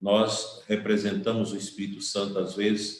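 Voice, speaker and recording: Audible room echo surrounds a man's fairly low voice. He speaks at a fairly slow pace. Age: 60s. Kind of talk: sermon.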